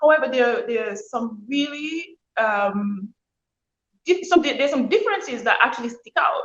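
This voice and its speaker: A woman speaks at a moderate pace with a Montserratian accent. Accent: Montserratian Caribbean English. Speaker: author and former nurse. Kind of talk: interview.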